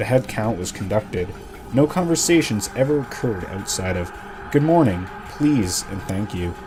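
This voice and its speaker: With music in the background, a man speaks at a moderate pace using lively intonation. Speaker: narrator. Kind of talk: horror story narration.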